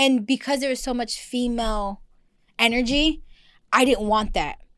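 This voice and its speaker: The voice is loud and moves at a moderate pace. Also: woman, high pitch for a woman, ordinary pitch variation, very clean recording, silent background. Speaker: podcast host. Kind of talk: casual chat. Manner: loud, projecting voice.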